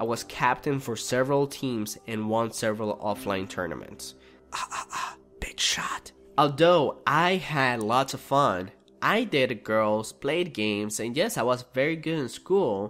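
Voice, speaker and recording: A man with a Spanish accent, medium pitch, lively intonation and a fairly slow pace. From Venezuela. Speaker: gaming YouTuber. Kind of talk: personal life story narration.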